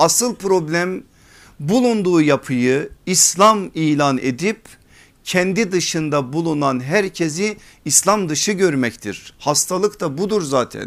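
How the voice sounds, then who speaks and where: Lively intonation carries a very slow delivery in a very clean recording with a silent background. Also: man, high pitch for a man. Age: 40s. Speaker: Islamic preacher and teacher. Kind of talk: religious lecture.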